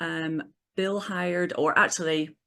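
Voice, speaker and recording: A woman with a British accent against a quiet background. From northern England. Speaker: business owner. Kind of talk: interview.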